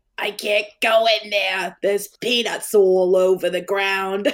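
This female-sounding voice is a put-on character voice at medium pitch. The pace is fairly slow. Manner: complaining, indignant.

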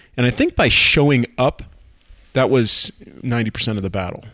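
A normal speaking voice at a fairly quick pace, with ordinary pitch variation, a dry, close sound with no echo and a quiet background. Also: man. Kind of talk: casual chat.

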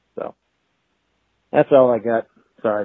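Talking at a fairly quick pace, a man with a Boston accent uses a medium pitch. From Boston, New England. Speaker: caller. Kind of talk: voicemail.

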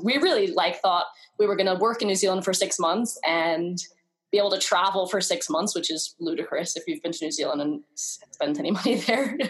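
Using a New York accent, a woman with a medium pitch talks at a fairly quick pace with lively intonation. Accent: American, New York. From US, New York. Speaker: travel blogger. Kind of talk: interview.

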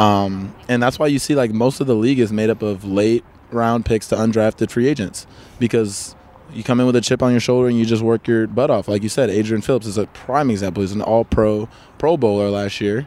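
Talking at a fairly quick pace, a man with an unremarkable speaking voice and an American accent keeps a medium pitch and fairly even intonation. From Chicago area, US. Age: 20s. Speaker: American football player. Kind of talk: casual interview chat.

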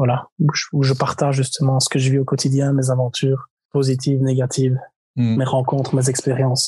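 Somewhat breathy and dark, mellow in tone, a man speaks at a medium pitch and a fairly quick pace, with monotone, flat intonation and very even loudness. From Belgium, Liège. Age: 20s. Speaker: traveler. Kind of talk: casual interview.

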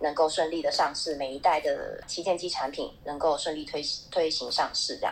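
A woman talks at a moderate pace in a fairly low pitch. She has a plain, everyday voice. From Taiwan. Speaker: smartphone marketing manager. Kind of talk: casual panel chat.

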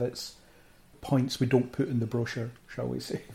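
A man speaks at a moderate pace with a Central Belt Scottish accent. His tone is dark and mellow, and somewhat breathy. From Scotland, Falkirk. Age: 30s. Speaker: geek culture blogger and podcaster. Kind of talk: casual interview chat.

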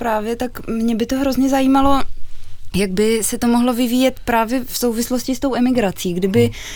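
Over noticeable background noise, a woman speaks at a moderate pace with a high pitch and fairly even intonation. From Czech Republic, Olomouc. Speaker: cellist in a string quartet. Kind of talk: radio interview.

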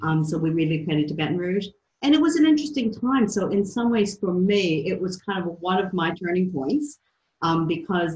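A woman at a medium pitch, somewhat breathy, fairly quick, with lively intonation. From US Midwest and South. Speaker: youth enterprise program leader. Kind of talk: interview. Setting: video call.

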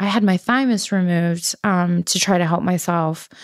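On a very clean recording with a silent background, a woman with a New York accent speaks at medium pitch and a moderate pace. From New York City, Queens. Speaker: patient sharing illness story, fashion worker. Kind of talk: personal testimony interview.

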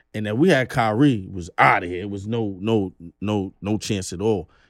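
The delivery comes fairly quickly. It carries a New York accent. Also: man. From Brooklyn, New York. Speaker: rapper. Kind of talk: casual chat.

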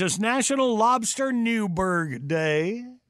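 The speaker has a Southern US accent and lively intonation. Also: man. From US South. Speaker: radio host. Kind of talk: casual chat. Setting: studio.

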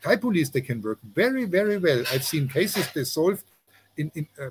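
A somewhat breathy man's voice with a German accent, fairly high in pitch, with lively intonation. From Germany. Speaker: journalist. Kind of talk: interview. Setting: remote call outdoors with jungle noises. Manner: halting, many fillers.

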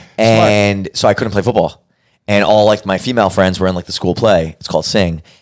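A man's fairly low, fairly even voice at a fairly quick pace, a plain, everyday voice in a very clean recording with a silent background. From Brooklyn, New York. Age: young. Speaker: podcast producer and host. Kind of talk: casual chat.

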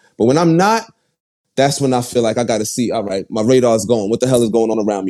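Speaking at a very fast pace with a Brooklyn accent, a man has a dark, mellow tone and ordinary pitch variation. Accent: New York (Brooklyn). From Brooklyn, New York (Bed-Stuy). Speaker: rapper. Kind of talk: casual interview.

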